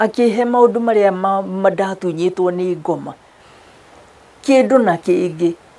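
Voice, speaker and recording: Speaking in a Kenyan accent, a woman talks at a fairly slow pace. Her voice sits at a medium pitch with ordinary pitch variation. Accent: Kenyan (Kikuyu) English. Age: 70s. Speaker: therapist and pastor. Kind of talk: interview testimony.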